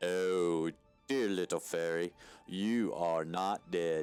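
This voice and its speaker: Faint music plays behind a man doing a put-on character voice. His pitch is very deep and low, and he talks at a very slow pace. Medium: actual play. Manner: smooth, menacing, coaxing.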